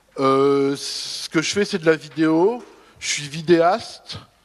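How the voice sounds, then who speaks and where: Pitch varies in an ordinary way across an ordinary speaking voice. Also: man. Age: 50s. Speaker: video artist. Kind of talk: conference testimony. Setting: conference round table.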